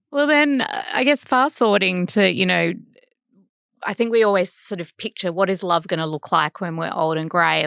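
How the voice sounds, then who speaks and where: An Australian accent from a woman at a moderate pace and medium pitch, on a very clean recording with a silent background. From Sydney, Australia. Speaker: podcast host. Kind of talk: interview.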